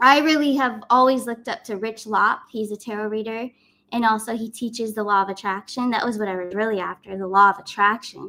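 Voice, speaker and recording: A woman with a fairly high pitch and a bright, sharp tone talks at a fairly quick pace. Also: ordinary pitch variation. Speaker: spiritual YouTuber and tarot reader. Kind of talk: casual live stream talk. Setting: live stream.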